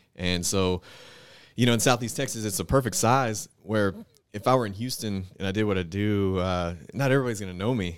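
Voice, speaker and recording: A normal speaking voice with ordinary pitch variation, on a very clean recording with a silent background. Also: man, fairly low pitch for a man, fairly quick pace. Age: 30s. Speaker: fitness enthusiast. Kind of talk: casual chat.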